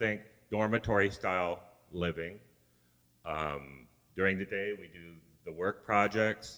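Fairly low in pitch with a bright, sharp tone, a man speaks at a fairly slow pace with ordinary pitch variation, big swings in loudness, and long, frequent pauses. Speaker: mission trip team member. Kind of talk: church report talk.

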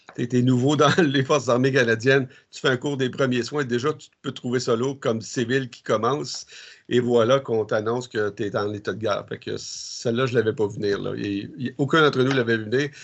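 Big swings in loudness mark the speech of a man with a medium pitch. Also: fairly even intonation. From Quebec, Ormstown south shore of Montreal. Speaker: military chaplain. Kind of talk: interview. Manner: halting.

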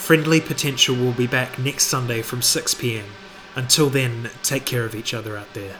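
Against noticeable background noise, a man speaks at a moderate pace and medium pitch with ordinary pitch variation and big swings in loudness. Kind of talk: radio DJ patter: station ID, track back-announcements and show plugs between songs. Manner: brisk, friendly, informative, rattling off release years, labels and gig dates; relaxed, casual, with occasional filler 'uh' pauses.

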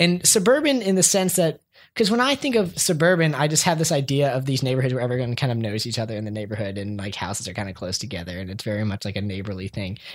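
In a very clean recording with a silent background, a man with an American accent talks at a very fast pace in a fairly high pitch with very wide pitch swings. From Columbia, Maryland, US. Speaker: podcast guest. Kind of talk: casual chat.

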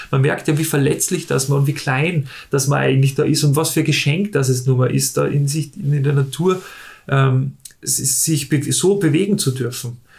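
Pitched fairly high, a man's somewhat breathy voice moves at a moderate pace with fairly even intonation and very even loudness. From Austria, Salzburg. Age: 30s. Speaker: paraglider pilot. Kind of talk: interview. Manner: halting.

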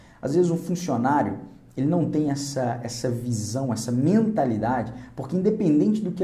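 With audible room echo, a man with a fairly high pitch and a dark, mellow tone speaks somewhat breathily, his intonation lively. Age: 30s. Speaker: career coach. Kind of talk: motivational video talk.

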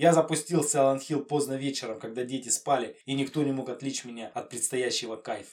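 In an ordinary speaking voice, a man talks at a fairly quick pace with hardly any pauses, his medium pitch following fairly even intonation. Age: 30s. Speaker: retro gaming podcaster. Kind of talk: monologue. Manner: casual.

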